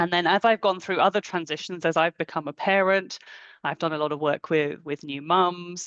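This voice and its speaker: Against a quiet background, a woman with a British accent speaks at a fairly low pitch and a moderate pace, with fairly even intonation and a dry, close sound with no echo. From England. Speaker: coach and clinical psychologist. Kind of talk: webinar talk.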